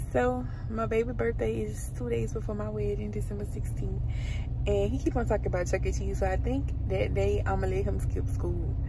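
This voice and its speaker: A woman at a fairly quick pace, dry sound with no echo, noticeable background noise behind her. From Louisiana. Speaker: lifestyle vlogger. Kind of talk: casual vlog. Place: car. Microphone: phone near.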